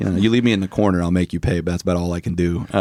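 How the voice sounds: A man with a Southern US accent speaks at a very fast pace with a very deep, low pitch. His tone is dark and mellow, and his intonation fairly even. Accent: Southern American.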